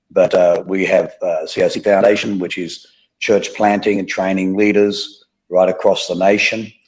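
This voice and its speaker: Against a quiet background, a man with an Australian accent talks at a moderate pace. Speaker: pastor. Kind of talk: interview, testimony.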